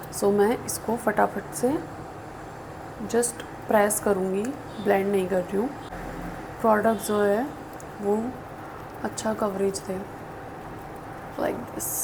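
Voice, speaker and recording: A soft-spoken woman at a medium pitch talks in a monotone, flat intonation, with long, frequent pauses. Noticeable background noise and audible room echo surround her voice. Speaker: beauty YouTuber. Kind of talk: makeup tutorial chat. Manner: Hindi-English code-switching. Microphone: voice may sound quiet.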